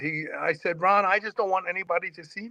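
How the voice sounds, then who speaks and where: In a bright, sharp tone, a man projects a raised voice at a very fast pace, the sound dry and close with no echo. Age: 60s. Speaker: fitness radio host and former lifter. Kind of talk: casual interview chat. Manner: repetitive stammering starts.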